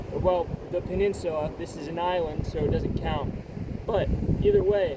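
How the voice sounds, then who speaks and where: Speaking at a moderate pace with an American accent, a man is heard through noticeable background noise and audible room echo. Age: 20s. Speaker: vlogger. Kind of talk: casual vlog monologue. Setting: outdoors by the ocean. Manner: halting, self-described stuttering. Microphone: far from the mic, may be quiet.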